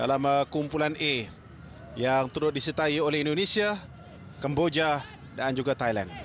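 The speaker talks at a moderate pace with ordinary pitch variation, leaving long, frequent pauses. Loudness stays very even, and there is noticeable background noise. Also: man, fairly high pitch for a man. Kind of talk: live commentary.

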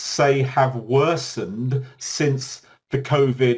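Over a quiet background, a man talks in a somewhat breathy voice. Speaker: webinar moderator. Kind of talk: presentation. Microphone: video call.

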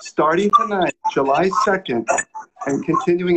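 Loud background noise runs throughout. A man speaks at a moderate pace. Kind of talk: formal welcome address. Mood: warm, earnest. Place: home room. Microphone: video call.

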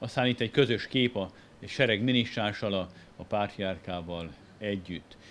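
An unremarkable speaking voice with ordinary pitch variation moves at a fairly slow pace. Light background noise sits behind it. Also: man, fairly low pitch for a man. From Hungary. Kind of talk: illustrated lecture. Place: hall. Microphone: podium.

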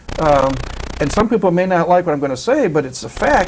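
With noticeable background noise behind him, a man speaks in a high voice with lively intonation. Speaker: college sports TV show host. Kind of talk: sports talk show interview. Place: studio.

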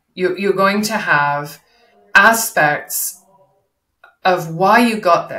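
A woman's fairly low voice, bright and sharp in tone, with ordinary pitch variation, a slow pace and audible room echo

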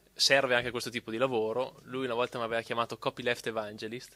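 A man talks at a very fast pace in a bright, sharp tone with monotone, flat intonation. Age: 30s. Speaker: copyleft advocate. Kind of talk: panel talk.

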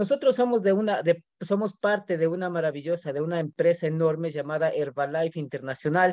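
Delivered at a fairly quick pace with hardly any pauses and ordinary pitch variation, the voice sounds dry with no echo against a quiet background. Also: man, high pitch for a man. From Ecuador, Riobamba (Andean highlands); Ecuador. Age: 30s. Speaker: network marketing distributor; presenter. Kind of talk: business presentation. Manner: animated. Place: home room. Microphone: webcam.

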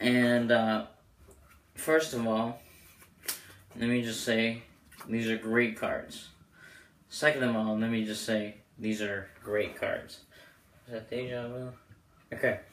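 In a monotone, flat intonation, a man speaks at a very slow pace with long, frequent pauses. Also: medium pitch for a man. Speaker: amateur magician reviewing playing cards. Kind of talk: product review video. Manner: casual, filler-heavy.

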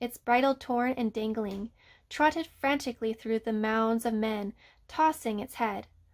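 The clip is plain reading aloud. Text is read out with nothing added.

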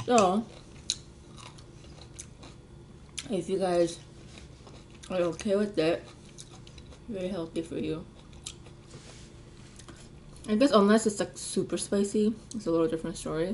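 A woman talks at a moderate pace with ordinary pitch variation. Long, frequent pauses break her speech over light background noise. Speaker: vlogger. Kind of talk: casual vlog chat. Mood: relaxed, light laughter. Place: home room. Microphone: phone near.

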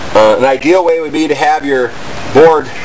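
A man at a moderate pace amid noticeable background noise. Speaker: bushcraft channel host. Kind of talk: tutorial. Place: garden. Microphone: camera far.

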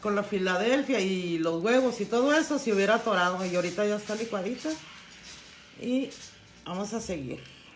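A woman talks at a moderate pace with lively intonation. Audible room echo surrounds her voice.

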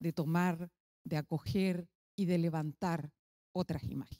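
The voice has a dark, mellow tone and moves at a fairly slow pace over a quiet background. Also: woman. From Chile. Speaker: philosopher and author; speaker. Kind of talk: academic lecture. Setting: stage with audience. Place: hall. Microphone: handheld.

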